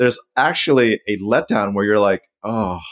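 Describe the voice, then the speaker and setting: A plain, everyday voice at a fairly quick pace. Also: man. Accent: American. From Southeast Asia, US Foreign Service family. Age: 40s. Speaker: personal finance author and blogger. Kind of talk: interview.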